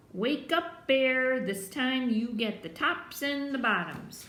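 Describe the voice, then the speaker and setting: The woman's pitch sits high in a put-on character voice. Her delivery is fairly slow. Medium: read story. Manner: smooth-talking.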